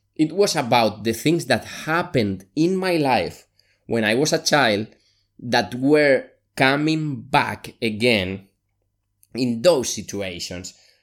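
Recorded very cleanly against a silent background, a man speaks very slowly at a medium pitch with lively intonation. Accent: Spanish. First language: Spanish. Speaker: podcast host, solopreneur. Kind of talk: solo monologue, personal podcast episode.

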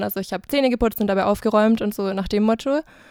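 Recorded very cleanly with a silent background and a dry, close sound with no echo, a woman speaks at a fairly high pitch. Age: 20s. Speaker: student and podcaster. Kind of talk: casual chat.

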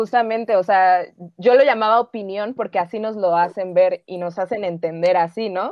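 A normal speaking voice comes at a moderate pace. The pitch moves with ordinary variation. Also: woman, medium pitch for a woman. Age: 20s. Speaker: film worker. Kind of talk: casual chat.

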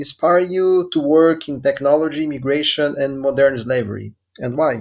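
Speaking with a Brazilian accent at a fairly slow pace, a man with a fairly high pitch shows ordinary pitch variation on a very clean recording with a silent background. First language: Portuguese. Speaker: podcast host. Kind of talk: interview.

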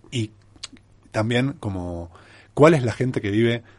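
A man speaks fairly slowly. Behind him, things stay quiet. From Argentina, Mar del Plata. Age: 40s. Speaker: travel writer. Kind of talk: interview. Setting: radio studio.

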